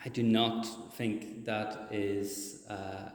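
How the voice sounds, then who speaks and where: A man with a Northern Irish accent talks at medium pitch, with audible room echo around him. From Northern Ireland. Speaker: charity speaker at church service. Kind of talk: sermon. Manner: hesitant, many fillers.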